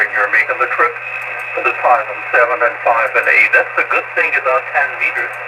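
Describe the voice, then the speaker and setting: Noticeable background noise sits under a man's moderately paced speech. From Germany. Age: 70s. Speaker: amateur radio operator. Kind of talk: amateur radio contact. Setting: amateur radio transmission.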